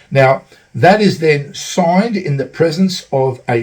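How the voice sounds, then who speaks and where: Speaking with an Australian accent, a man sounds somewhat breathy, moving at a moderate pace with lively intonation. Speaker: travel vlogger. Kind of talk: tutorial. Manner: halting, many fillers.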